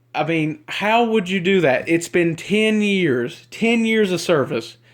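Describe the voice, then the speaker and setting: In a Southern US accent, a man speaks at a fairly slow pace with high pitch and lively intonation. The recording is very clean, with a silent background. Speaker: YouTuber. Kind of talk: rant. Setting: self-recorded video. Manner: halting, rambling.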